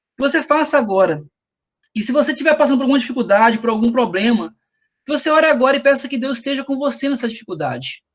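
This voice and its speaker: With typical rise and fall in pitch, this man rattles along at an extremely rapid rate. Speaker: lay preacher. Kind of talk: sermon. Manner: fast; halting.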